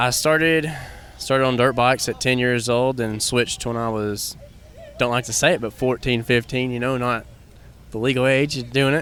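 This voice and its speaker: With an East Tennessee accent, a man at medium pitch talks at a moderate pace with fairly even intonation over noticeable background noise. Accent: East Tennessee Southern US. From Tennessee, Bulls Gap. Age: 20s. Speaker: ATV motocross racer. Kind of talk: interview. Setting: outdoors at a motocross park.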